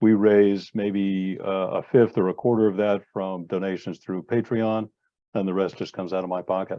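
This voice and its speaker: A man speaks with an American accent at a fairly low pitch. His intonation is monotone and flat, and his pace is moderate. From United States. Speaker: magazine editor and event moderator. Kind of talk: panel discussion on video call. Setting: video call. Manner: halting, many fillers.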